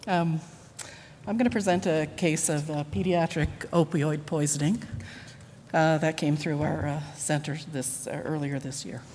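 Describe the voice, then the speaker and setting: Room echo is audible around a woman whose very deep, low pitch has a dark, mellow tone. She sounds somewhat breathy and keeps a moderate pace with long, frequent pauses. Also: ordinary pitch variation. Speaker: nurse. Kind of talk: conference presentation. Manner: halting, many fillers.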